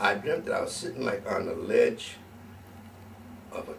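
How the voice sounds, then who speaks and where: Speech moves at a fairly slow pace with audible room echo. Noticeable background noise is also there. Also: man. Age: 80s+. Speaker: musician. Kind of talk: casual chat. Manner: animated.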